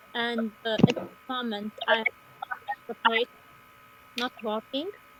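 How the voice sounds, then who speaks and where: At a very slow pace, a woman speaks at a fairly high pitch with fairly even intonation, in a dry, close sound with no echo and noticeable background noise. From Latvia, Riga. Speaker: educator. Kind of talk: conference talk. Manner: halting.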